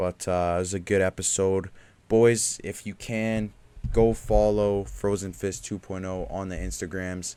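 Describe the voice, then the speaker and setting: The recording is very clean, with a silent background. A man with a dark, mellow tone and fairly low pitch speaks with fairly even intonation and big swings in loudness. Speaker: podcast host. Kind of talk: casual chat. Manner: low energy.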